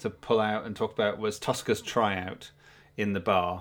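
A man with a Geordie accent, fairly low in pitch, at a moderate pace. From North East England. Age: 40s. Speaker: podcast host. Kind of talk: casual chat.

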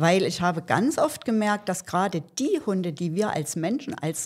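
At a fairly slow pace, a woman speaks in a medium pitch with very wide pitch swings. The recording is very clean, with a silent background. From Saxony, Germany. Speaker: animal welfare volunteer. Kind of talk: interview.

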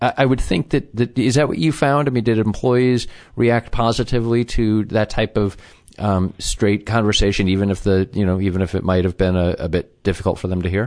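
Against a quiet background, a man with an American accent uses an unremarkable speaking voice, fairly low in pitch with ordinary pitch variation, at a fairly quick pace. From US Midwest, Chicago. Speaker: podcast host, interviewer. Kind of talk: interview.

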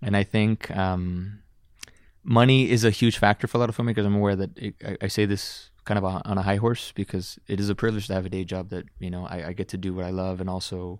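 An ordinary speaking voice with an American accent moves at a fairly quick pace with fairly even intonation. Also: man. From Dallas, Texas. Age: 20s. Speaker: filmmaker. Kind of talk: casual interview chat. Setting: studio.

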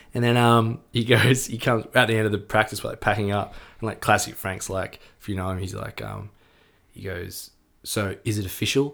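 On a very clean recording with a silent background, a man with an Australian accent speaks at a fairly quick pace in a fairly low pitch, with fairly even intonation and big swings in loudness. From Melbourne, Australia. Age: 30s. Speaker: rock musician. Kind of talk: casual chat. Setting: at the host's home.

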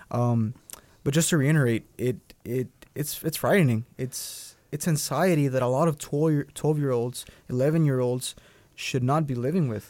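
In a very clean recording with a silent background, a man with a Spanish accent speaks at a moderate pace, with a fairly high pitch and ordinary pitch variation. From Durango, Mexico; raised in Dallas, Texas. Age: 20s. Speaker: DACA recipient, student. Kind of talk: interview testimony. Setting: studio.

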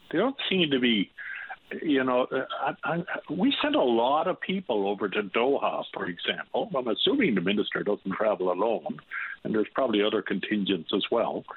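Spoken with a Newfoundland accent, the voice makes very wide pitch swings while its loudness stays very even. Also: man, medium pitch for a man, moderate pace. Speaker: caller. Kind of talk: call-in opinion. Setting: phone call.

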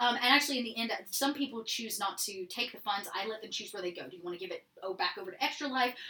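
Over noticeable background noise, a woman speaks very fast. She has a fairly high pitch and an American accent. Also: ordinary pitch variation, hardly any pauses, big swings in loudness. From Georgia, US South (small town). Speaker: improv theatre worker and streamer. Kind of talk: casual chat.

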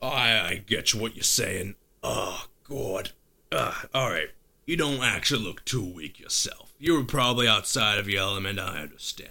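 A man puts on a character voice at medium pitch and a moderate pace, in a very clean recording with a silent background. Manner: gruff, menacing, blunt.

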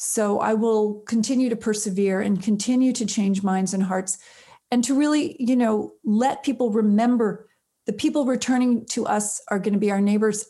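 At a moderate pace, a woman with a fairly high pitch, a dark, mellow tone and a somewhat breathy sound speaks with ordinary pitch variation and very even loudness in a very clean recording with a silent background. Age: 50s. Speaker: prison reform nonprofit founder and filmmaker. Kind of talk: interview. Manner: halting.

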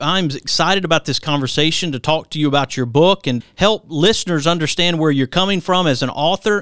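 An ordinary speaking voice moves at a fairly quick pace with ordinary pitch variation, in a very clean recording with a silent background. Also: man, fairly high pitch for a man, hardly any pauses. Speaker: radio host. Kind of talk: radio interview with ad reads and show intros. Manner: warm, polished radio-announcer delivery.

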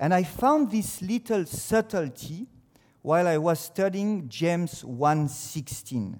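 A man talks at a very slow pace on a very clean recording with a silent background. His pitch is high and his intonation lively. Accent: French. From France. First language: French. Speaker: teacher giving a devotional. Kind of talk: devotional talk. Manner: halting.

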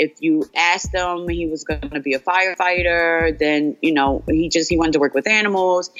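With music in the background, a woman with a fairly low pitch talks at a fairly quick pace with hardly any pauses. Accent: American. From New Jersey, Asbury Park. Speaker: bereaved mother. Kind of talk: interview.

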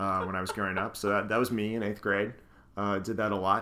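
A man with an American accent speaks at a fairly low pitch in a bright, sharp tone. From northeastern US, Scranton, Pennsylvania. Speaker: podcast host. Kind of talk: casual chat. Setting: home living room.

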